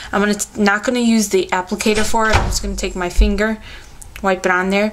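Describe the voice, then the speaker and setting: A woman with a medium-pitched voice speaks very fast in a flat monotone over noticeable background noise. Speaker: beauty vlogger. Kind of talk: tutorial. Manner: casual, filler-heavy.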